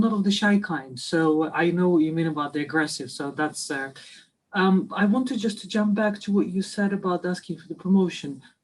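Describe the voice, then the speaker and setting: This somewhat breathy voice moves at a moderate pace with lively intonation and a non-native accent. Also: woman. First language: not English. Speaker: webinar attendee. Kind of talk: audience question. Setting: video call. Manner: halting.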